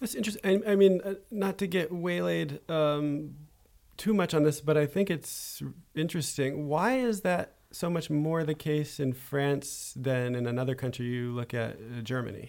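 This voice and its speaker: A man with an ordinary speaking voice, fairly high in pitch, at a moderate pace with lively intonation. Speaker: podcast host. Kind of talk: interview. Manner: formal.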